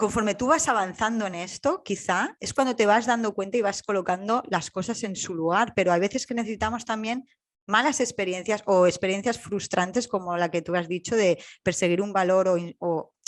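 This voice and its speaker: Here is a woman with a plain, everyday voice at a medium pitch, speaking at a moderate pace with ordinary pitch variation. The recording is very clean, with a silent background. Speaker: podcast host. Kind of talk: podcast interview.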